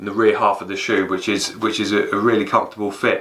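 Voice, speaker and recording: A man with an English accent and a medium pitch. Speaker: fitness YouTuber, running coach. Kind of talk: product review. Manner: halting, repeats words.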